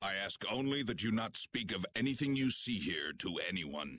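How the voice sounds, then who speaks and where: A man's growling, put-on character voice at medium pitch, delivered at a moderate pace. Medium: video game. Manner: formal, stiff.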